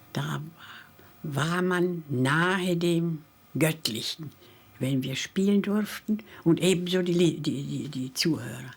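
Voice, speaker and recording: A woman with a fairly low pitch speaks at a very slow pace. Her speech has long, frequent pauses. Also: ordinary pitch variation. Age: 90s. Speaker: Holocaust survivor musician. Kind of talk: testimony.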